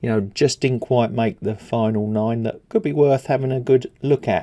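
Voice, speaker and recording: A man with an English accent talks at a moderate pace in a medium pitch with ordinary pitch variation. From England. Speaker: stock market commentator. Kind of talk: market analysis video. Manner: casual, with many fillers.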